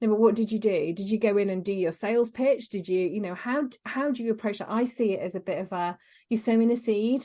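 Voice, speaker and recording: Over a quiet background, a woman speaks very fast in an East Midlands accent, her fairly high voice carrying a dark, mellow tone. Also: ordinary pitch variation. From rural Lincolnshire, England. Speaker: confidence coach and podcast host. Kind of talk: casual interview chat.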